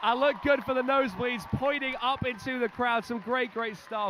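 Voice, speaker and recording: A man talks in a raised, projected voice at an extremely high pitch. He keeps a moderate pace. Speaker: sports commentator. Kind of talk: live commentary. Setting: basketball venue with crowd and music. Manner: loud; animated.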